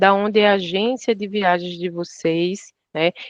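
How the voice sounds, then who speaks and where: A northeastern Brazilian accent in a dry, close sound with no echo. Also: woman. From Pernambuco, Brazil. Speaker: travel operator product staff. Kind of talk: online training webinar.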